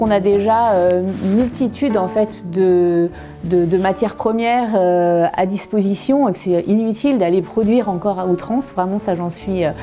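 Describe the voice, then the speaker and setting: Noticeable background noise sits behind a woman's voice. She has a medium pitch, ordinary pitch variation and a moderate pace. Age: 30s. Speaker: furniture restorer. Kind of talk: interview. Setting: workshop showroom. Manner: halting, many hesitations.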